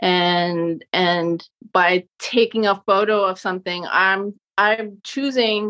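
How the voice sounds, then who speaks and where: A woman at medium pitch speaks with an American accent and ordinary pitch variation against a quiet background. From Southampton, Long Island, New York. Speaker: street photographer. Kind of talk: interview answers, casual chat.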